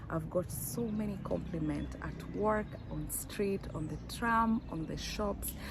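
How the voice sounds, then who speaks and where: A woman talks at a very slow pace. The room echo is audible. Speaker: fashion vlogger. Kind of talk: unboxing vlog. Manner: animated.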